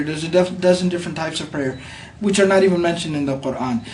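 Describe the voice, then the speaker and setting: A man at a very fast pace and high pitch with ordinary pitch variation, amid noticeable background noise and audible room echo. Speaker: imam. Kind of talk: religious explanation in conversation.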